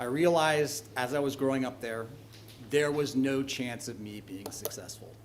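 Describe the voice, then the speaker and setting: A man's medium-pitched voice with a Californian accent, fairly even intonation and a moderate pace, amid noticeable background noise and audible room echo. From northern California. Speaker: landlord speaking at public comment. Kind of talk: public comment at a council meeting. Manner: halting, with fillers.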